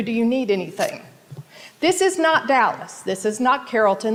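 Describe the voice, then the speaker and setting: At a fairly quick pace, a woman talks in a high pitch over noticeable background noise. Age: 60s. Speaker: resident speaking at public comment. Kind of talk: public comment at council meeting. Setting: city council chamber. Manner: impassioned.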